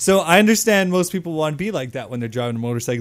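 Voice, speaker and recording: Speaking at a very fast pace with lively intonation, the voice comes through on a very clean recording against a silent background. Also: man. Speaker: podcast co-host. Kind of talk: casual chat.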